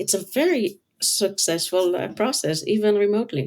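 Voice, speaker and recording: A woman talks with lively intonation, her pitch at a medium level. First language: not English. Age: 50s. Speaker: color designer and author. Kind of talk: interview.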